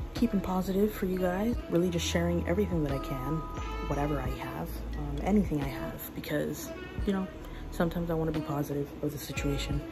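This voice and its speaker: Clear music plays in the background. A woman speaks at a very fast pace. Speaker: vlogger. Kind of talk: casual vlog chat. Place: kitchen. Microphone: phone near.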